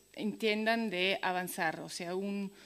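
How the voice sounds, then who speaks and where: Very slowly and with fairly even intonation, a woman with a slight Italian accent speaks at a medium pitch. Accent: some Italian elements in her Spanish. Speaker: activist speaker. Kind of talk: conference talk. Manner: halting, many fillers.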